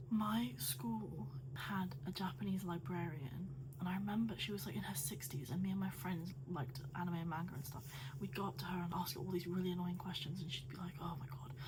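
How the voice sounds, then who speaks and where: Whispering at a fairly quick pace, a woman is heard with audible room echo and noticeable background noise. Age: 30s. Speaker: YouTuber. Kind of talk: casual vlog talk while doing makeup. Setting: at home, late at night. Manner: chatty, rambling pace.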